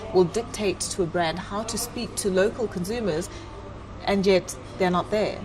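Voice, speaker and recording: A woman with a South African accent, medium pitch and ordinary pitch variation, with music in the background. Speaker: talk show host. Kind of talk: talk show interview.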